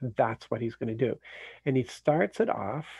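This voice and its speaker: A man talks with a somewhat breathy, medium-pitched voice, his pitch varying in an ordinary way at a moderate pace. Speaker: Bible teacher. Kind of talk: Bible study talk. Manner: halting.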